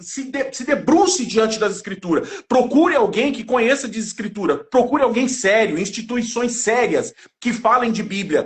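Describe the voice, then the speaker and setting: Animated in tone, a man talks with hardly any pauses at an extremely high pitch. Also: ordinary pitch variation. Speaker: evangelical Bible teacher. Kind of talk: religious discussion on livestream. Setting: online live stream. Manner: fast.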